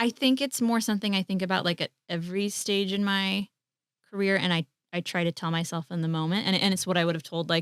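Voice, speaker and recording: A woman with a Midwestern US accent speaks at a very fast pace in an animated tone with ordinary pitch variation. The sound is dry and close, with no echo. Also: medium pitch for a woman. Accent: US Midwest. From US Midwest, Colombian family. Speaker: actor, writer and director. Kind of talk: casual interview chat.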